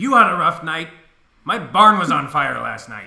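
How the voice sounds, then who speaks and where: Putting on a gruff character voice pitched high for a man, he speaks at a moderate pace. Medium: actual play. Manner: blunt, gruff, swears freely.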